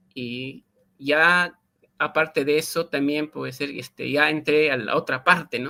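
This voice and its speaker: This man's voice sits fairly high in pitch with a bright, sharp tone. His intonation stays fairly even. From Peruvian Andes, Quechua-speaking area. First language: Quechua (speaking Spanish). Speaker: linguist and Quechua teacher. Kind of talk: interview. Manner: halting, many fillers.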